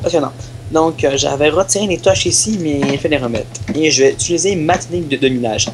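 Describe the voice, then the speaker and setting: Noticeable noise in the background accompanies talking at a fairly quick clip. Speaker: gaming video host. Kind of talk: gameplay commentary. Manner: halting, many repetitions.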